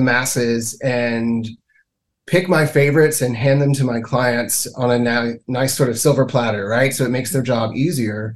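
A man with an American accent speaks in a normal speaking voice at medium pitch and a moderate pace. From US South, Mississippi. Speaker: casting director. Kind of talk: interview.

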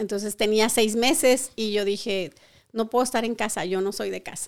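The speaker keeps a moderate pace and fairly even intonation on a very clean recording with a silent background. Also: woman. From Colima, western Mexico. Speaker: beauty school owner. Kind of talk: interview.

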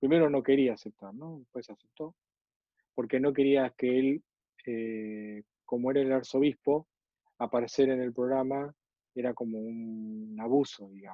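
With an Argentine accent, a man speaks at a fairly slow pace with long, frequent pauses, fairly even intonation and big swings in loudness. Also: medium pitch for a man. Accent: Rioplatense Argentine Spanish. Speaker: Presbyterian minister. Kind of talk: interview. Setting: video call.

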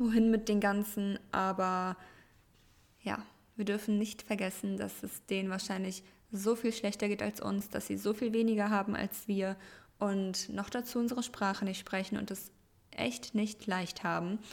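At a fairly slow pace, a woman with a medium pitch speaks in fairly even intonation. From Germany. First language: Russian (speaking German). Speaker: podcast co-host. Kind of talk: casual chat.

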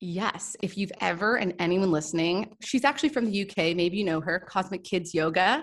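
A woman with an ordinary speaking voice talks at a medium pitch in a Canadian accent. Her pitch varies in an ordinary way, and she keeps a moderate pace with hardly any pauses. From Canada, Toronto. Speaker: Ayurveda and yoga teacher. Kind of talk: casual interview chat.

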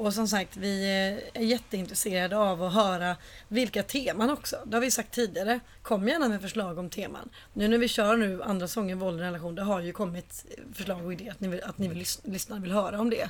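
A woman talks fairly quickly at a medium pitch. She has a normal speaking voice. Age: 30s. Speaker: podcast co-host. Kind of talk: casual chat. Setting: in a flat with balcony door open.

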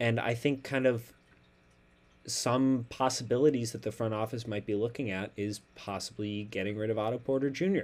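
A man with an ordinary speaking voice talks at a moderate pace, medium in pitch with ordinary pitch variation, in a very clean recording with a silent background. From Chicago. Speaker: sports podcast host. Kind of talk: casual sports chat.

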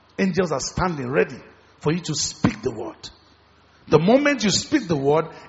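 Over noticeable background noise, a man with a high voice talks at a moderate pace in an animated tone. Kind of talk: sermon. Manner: animated, call-and-response preaching that urges the congregation to shout and pray; fervent, rhythmic, with repeated phrases and teaching asides.

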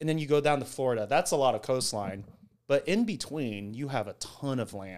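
On a very clean recording with a silent background, a man in a plain, everyday voice talks at a moderate pace, fairly high in pitch and with lively intonation. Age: 30s. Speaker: software engineer. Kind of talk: casual chat.

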